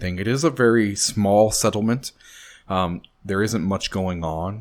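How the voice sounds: The clip has a natural reading voice. It is heard throughout.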